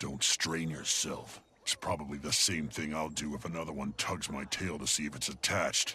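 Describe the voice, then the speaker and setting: Putting on a growling character voice, a man speaks at a moderate pace with a very deep, low pitch. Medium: video game. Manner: gruff, sardonic.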